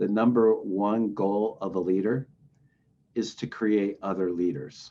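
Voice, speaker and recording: A man's fairly low-pitched voice, a plain, everyday voice, at a fairly slow pace. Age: 60s. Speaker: recovery organization director. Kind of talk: interview.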